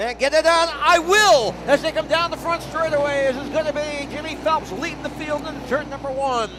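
Against crowd noise in the background, a man with an extremely high pitch talks at a fairly quick pace in a raised, projected voice with hardly any pauses. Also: ordinary pitch variation. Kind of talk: race call, color commentary. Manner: energetic, conversational.

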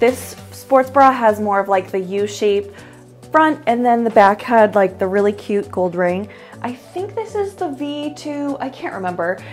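Faint music plays behind a woman who talks at a fairly slow pace. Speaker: fashion vlogger. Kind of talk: casual vlog chat. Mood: upbeat, friendly. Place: home room. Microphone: lapel.

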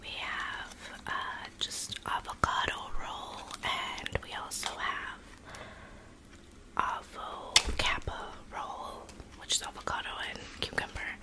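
In a whisper, a woman talks very slowly, pausing long and often. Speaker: ASMR mukbang creator. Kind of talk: ASMR eating video talk. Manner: whispered. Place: home room. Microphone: studio mic.

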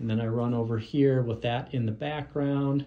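Somewhat breathy, a man talks at a moderate pace with ordinary pitch variation. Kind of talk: casual vlog chat. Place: studio. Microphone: phone near.

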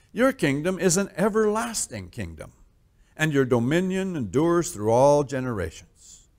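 The man talks fairly slowly, and the background stays quiet. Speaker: pastor. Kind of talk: scripture reading. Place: church.

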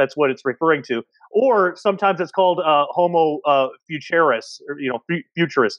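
A man talks at a fairly quick pace in a fairly high voice with ordinary pitch variation. The sound is dry with no echo, and the background is quiet. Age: 30s. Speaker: podcast host and researcher; podcast host. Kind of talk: casual panel discussion. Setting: video call. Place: home room. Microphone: earbuds.

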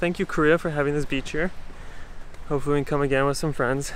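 Light background noise can be heard. The man keeps his intonation fairly even. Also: dry sound with no echo. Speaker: travel vlogger. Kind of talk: casual vlog chat. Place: beach. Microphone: phone near.

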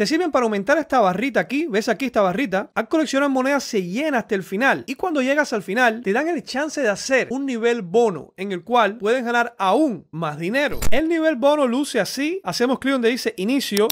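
A man at an extremely high pitch, with lively intonation, a fairly quick pace and few pauses

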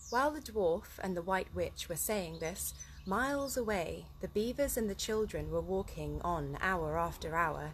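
Moderate pace from a woman, with light noise in the background. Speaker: story reader. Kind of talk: reading aloud a children's book. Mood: relaxed, cheerful. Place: garden. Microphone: phone near.

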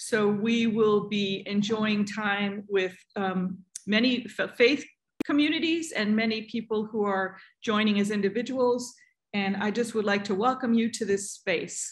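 In front of a quiet background, a woman speaks at a fairly slow pace, somewhat breathy, with ordinary pitch variation. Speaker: pastor hosting community gathering. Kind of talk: welcoming address. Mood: warm, calm. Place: home room. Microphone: video call.

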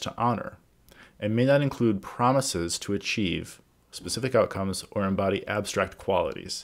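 At a moderate pace and with ordinary pitch variation, a man speaks over a quiet background. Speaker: organizational governance coach. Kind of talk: tutorial. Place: home room. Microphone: webcam.

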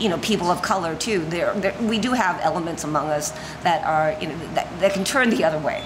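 With noticeable background noise behind her, a woman talks fairly quickly at a fairly low pitch with ordinary pitch variation. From Los Angeles, from age five. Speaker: restaurant owner. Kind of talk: casual interview conversation. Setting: in a restaurant. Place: cafe. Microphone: studio mic.

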